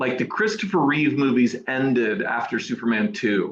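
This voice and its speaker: A man with a strong American accent speaks at a fairly slow pace. His fairly high pitch moves in very wide swings. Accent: thick American. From New Zealand, Auckland; later Sydney area, then USA. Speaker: Superman suit replica prop maker. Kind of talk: casual interview. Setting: video call.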